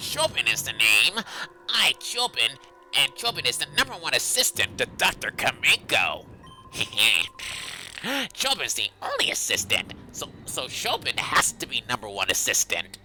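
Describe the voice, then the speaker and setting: Faint music plays in the background. Over it, a man performs a cartoonish character voice. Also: moderate pace. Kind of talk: cartoonish, put-on.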